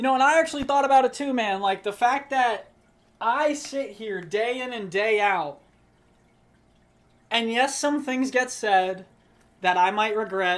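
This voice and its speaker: A loud man at an extremely high pitch, long, frequent pauses, on a very clean recording with a silent background. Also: ordinary pitch variation, fairly slow pace. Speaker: streamer. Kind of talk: casual chat. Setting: live stream.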